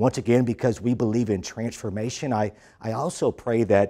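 A man talks in a dark, mellow tone at a moderate pace. The background is quiet. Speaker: church pastor. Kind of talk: sermon welcome address.

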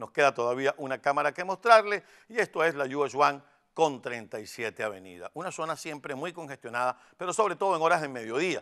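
A man with a fairly high pitch and very wide pitch swings, in a very clean recording with a silent background. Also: moderate pace. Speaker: TV morning show host. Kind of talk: weather and traffic report.

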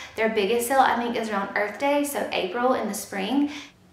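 A woman speaks at a moderate pace, with audible room echo around her voice. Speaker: YouTuber, mother. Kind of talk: product review tutorial. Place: home room.

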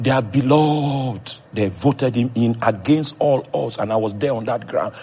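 Noticeable background noise sits behind a man speaking at a fairly high pitch. His tone is passionate and his pace fairly slow. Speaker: preacher. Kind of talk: sermon.

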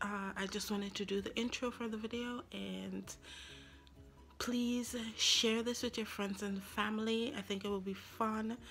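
Faint music sits in the background. A woman speaks at a fairly slow pace in a monotone, flat intonation. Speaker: vlogger. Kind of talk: casual vlog chat. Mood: friendly, laughing. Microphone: phone near.

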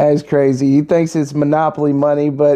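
The background stays quiet while a man talks. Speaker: youtuber reacting to video. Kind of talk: casual vlog chat. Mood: amused, laughing. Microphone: phone near.

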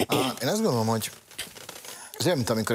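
Light background noise is present. A man talks over it. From Hungary. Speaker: Roma affairs expert; TV guest. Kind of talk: TV panel discussion. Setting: studio. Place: studio. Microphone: lapel.

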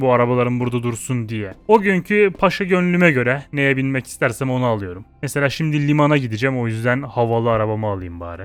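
Over music in the background, a man speaks fairly quickly in an animated tone with very wide pitch swings. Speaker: gaming YouTuber. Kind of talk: gameplay commentary. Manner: casual, animated.

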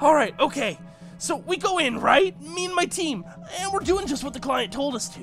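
Someone uses a put-on character voice at a moderate pace. Clear music plays in the background. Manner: desperate, pleading, fast-talking.

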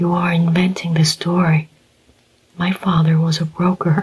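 A soft-spoken whisper at a fairly slow pace. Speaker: audiobook narrator. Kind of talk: audiobook reading. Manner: soft whispered audiobook reading.

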